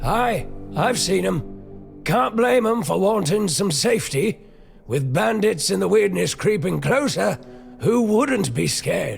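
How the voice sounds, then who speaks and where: A raspy put-on character voice at a fairly slow pace, with clear music in the background. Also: man, high pitch for a man. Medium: video game. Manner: plain-spoken, folksy.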